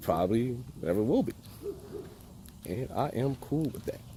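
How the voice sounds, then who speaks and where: A medium-pitched man with an American accent, fairly slow pace and very wide pitch swings. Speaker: college student. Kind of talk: vlog. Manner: casual.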